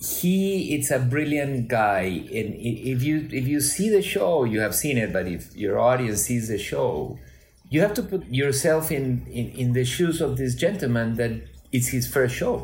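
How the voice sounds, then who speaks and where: A man speaks at a medium pitch with a non-native accent, somewhat breathy and fairly slow. His pitch swings very widely. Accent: foreign accent in English. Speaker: cinematographer. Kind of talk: interview. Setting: video call.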